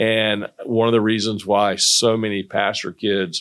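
A man with a Southern US accent talks at a fairly slow pace in a fairly low voice. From North Carolina. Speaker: pastor. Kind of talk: casual interview.

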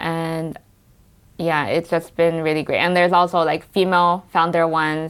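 A woman with an American accent speaks at a fairly low pitch in a monotone, flat way. The recording is very clean, with a silent background. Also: moderate pace. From US West Coast, Los Angeles. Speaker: tea company founder. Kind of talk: interview.

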